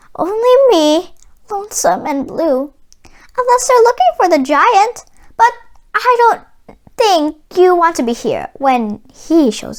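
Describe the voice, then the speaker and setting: In a put-on character voice, a woman talks squeakily at an extremely high pitch with very wide pitch swings, a fairly slow pace, and long, frequent pauses. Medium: read story. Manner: twangy country phrasing.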